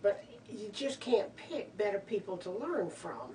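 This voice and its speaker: Speaking at a fairly slow pace, a woman is heard over noticeable background noise. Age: 60s. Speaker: novice skydiver. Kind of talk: oral history interview. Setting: drop zone. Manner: halting.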